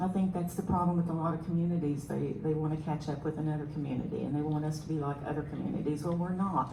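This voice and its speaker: A woman with a Southern US accent and a very deep, low pitch speaks amid noticeable background noise and audible room echo. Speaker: city council candidate, military veteran. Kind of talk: candidate forum answer.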